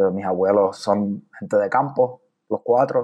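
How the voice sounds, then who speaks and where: Dark and mellow in tone, the voice unfolds at a fairly slow pace. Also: man. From Puerto Rico, San Juan. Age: 30s. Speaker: poet. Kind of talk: interview.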